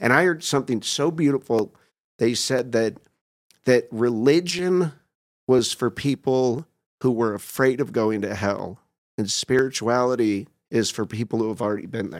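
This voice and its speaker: This man has an unremarkable speaking voice at a medium pitch. He speaks at a moderate pace with ordinary pitch variation. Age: 50s. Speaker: doctor in recovery from alcohol addiction. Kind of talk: casual chat.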